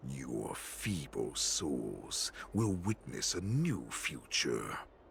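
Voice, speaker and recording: A man puts on a raspy character voice. Clear background noise runs under it. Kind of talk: dramatic trailer narration. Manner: epic, menacing, trailer-style.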